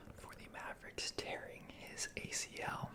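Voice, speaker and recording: Over noticeable background noise, a man whispers in a relaxed tone. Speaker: ASMR content creator. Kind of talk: ASMR sports recap, whispered. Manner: whispered, relaxed, casual, with filler words.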